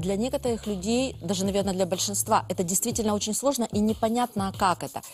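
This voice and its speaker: A woman's very fast speech comes through with light background noise. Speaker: etiquette expert; guest. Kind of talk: TV talk show interview. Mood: warm, reflective. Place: studio. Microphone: lapel.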